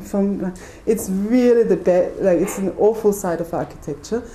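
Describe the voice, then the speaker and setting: A woman talks at a medium pitch with ordinary pitch variation, amid audible room echo and noticeable background noise. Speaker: architect. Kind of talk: lecture. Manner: fast.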